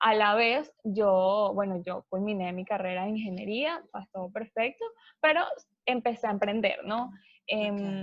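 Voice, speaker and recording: A woman with a normal speaking voice, medium pitch, ordinary pitch variation, and a fairly slow pace. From Venezuela. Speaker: travel agency owner. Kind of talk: interview.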